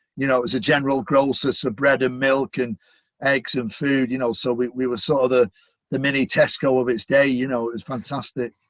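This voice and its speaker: With a Manchester accent, a man talks at a fairly quick pace in a flat monotone at medium pitch. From Manchester, northern England. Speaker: stadium announcer. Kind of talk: casual interview.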